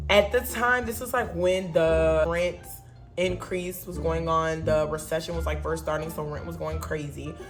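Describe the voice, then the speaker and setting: Music can be heard behind the speaker. A woman talks at a moderate pace. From Wisconsin. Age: 20s. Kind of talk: casual storytime to camera.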